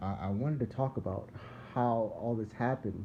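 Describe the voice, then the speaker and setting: With fairly even intonation, a man in an American accent speaks at a moderate pace. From US Northeast, Philadelphia. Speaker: religious video blogger. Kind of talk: casual religious monologue. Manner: rambling, repetitive.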